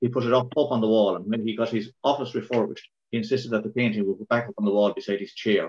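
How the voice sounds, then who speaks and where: In a Kilkenny Irish accent, a man talks at a very fast pace with hardly any pauses. His intonation is fairly even. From Ireland, Kilkenny. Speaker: local councillor. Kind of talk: tribute reminiscence. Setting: video call. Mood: warm, respectful remembrance. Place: home room. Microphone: video call.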